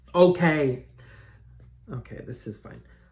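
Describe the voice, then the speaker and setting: Speaking at a very slow pace, a man sounds somewhat breathy, with ordinary pitch variation. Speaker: drag queen makeup creator. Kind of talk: tutorial. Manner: soft-spoken; casual, chatty.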